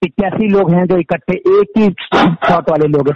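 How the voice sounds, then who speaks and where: Moderate pace with ordinary pitch variation. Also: man. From Uttarakhand, Pauri Garhwal. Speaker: entrepreneur. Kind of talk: interview.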